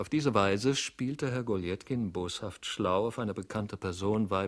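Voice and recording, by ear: The clip is reading aloud. It is done in a natural voice.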